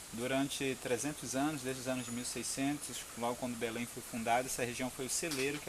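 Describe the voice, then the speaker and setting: Amid audible room echo and noticeable background noise, a man speaks with fairly even intonation. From Brazil, Pará (São Miguel do Guamá). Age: 40s. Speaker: agroforestry farmer and permaculture educator. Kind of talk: on-site explanation to visitors.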